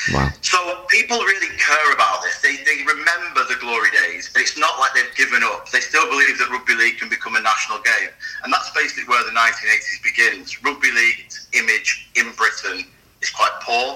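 A man talks at a fairly quick pace. Noticeable background noise runs through the clip. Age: 30s. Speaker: rugby league historian. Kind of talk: interview.

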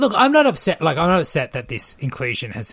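This man keeps a moderate speed. His intonation is lively. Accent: Australian. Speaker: podcast host, TV reviewer. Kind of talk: casual chat.

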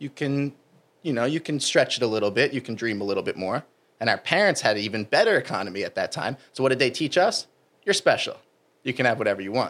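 A man with an American accent talks very fast at a medium pitch, his intonation lively. The recording is very clean, with a silent background. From US Northeast (New Jersey). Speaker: fitness coach. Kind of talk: casual interview chat.

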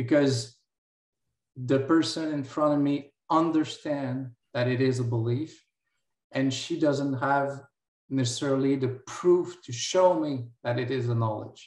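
A man's fairly high voice in a Quebec accent at a fairly slow pace. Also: fairly even intonation. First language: French. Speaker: physics lecturer and philosophy doctoral student. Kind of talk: panel discussion.

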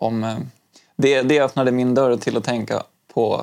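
This man talks at a fairly slow pace, his pitch in the medium range. His intonation stays monotone and flat. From Umeå, then Stockholm from age eight. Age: 30s. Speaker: high school teacher and zen practitioner. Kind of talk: casual interview. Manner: halting, many fillers and restarts.

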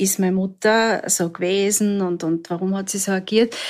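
Over a very clean recording with a silent background, the voice moves at a fairly slow pace in a monotone, flat intonation. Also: woman. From Austria, southern Styria. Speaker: survivor of domestic violence. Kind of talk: personal testimony. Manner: halting.

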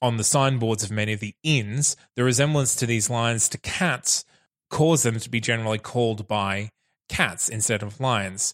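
A man's unremarkable speaking voice at medium pitch, with ordinary pitch variation and a moderate pace, dry and close with no echo, on a very clean recording against a silent background. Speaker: producer and co-host. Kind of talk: casual chat.

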